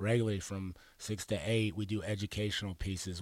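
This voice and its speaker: A man with a fairly low voice and an American accent speaks in a normal speaking voice with fairly even intonation, in a very clean recording with a silent background. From Arizona. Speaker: youth program director. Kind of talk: radio interview.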